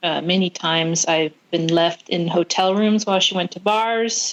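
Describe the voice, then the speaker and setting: A woman speaks with a West Coast accent at a fairly low pitch. Her intonation is fairly even, and the background is quiet. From California, US West Coast. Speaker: tattoo artist, recovering addict. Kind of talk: testimony. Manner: halting.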